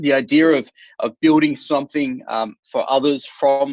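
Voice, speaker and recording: Recorded dry and close with no echo, a man with an Australian accent speaks with ordinary pitch variation. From Australia, Sydney. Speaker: startup founder and author. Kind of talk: podcast interview. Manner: hesitant, many fillers and repetitions.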